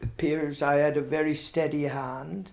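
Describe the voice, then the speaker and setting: Here a man talks with a Herefordshire accent. His pitch is fairly high and his pace very slow. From Herefordshire, England. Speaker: retired blacksmith. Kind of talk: oral history interview answer.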